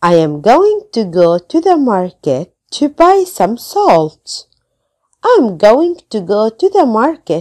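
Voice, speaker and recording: A woman speaks very slowly in a dark, mellow tone, her pitch swinging very widely in a dry, close sound with no echo. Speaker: English teacher. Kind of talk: tutorial; reading aloud.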